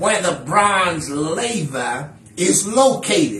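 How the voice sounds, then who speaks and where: The voice is raised and projected. Audible room echo surrounds it. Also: man. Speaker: minister teaching Bible study. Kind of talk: lecture. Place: home room. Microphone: camera far.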